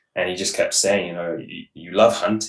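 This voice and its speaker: A man is speaking. He has an English accent. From England. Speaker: hunting guide. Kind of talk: interview. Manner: fast; mumbling.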